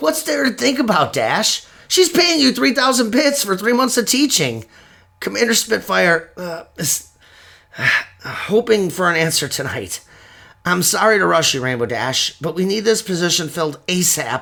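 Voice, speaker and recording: A man puts on a raspy character voice, pitched high, with very wide pitch swings. His pace is moderate. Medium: audio drama. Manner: earnest, friendly.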